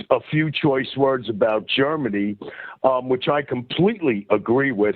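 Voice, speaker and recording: In a New York accent, a man speaks with lively intonation. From US Northeast, New York. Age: 60s. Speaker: caller. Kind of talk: call-in conversation. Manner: halting, many fillers.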